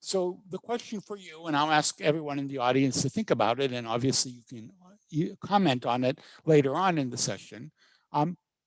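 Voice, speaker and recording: A man with an ordinary speaking voice talks at a fairly quick pace and fairly high pitch, with big swings in loudness, in a dry, close sound with no echo. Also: lively intonation. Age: 60s. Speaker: professor. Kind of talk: lecture.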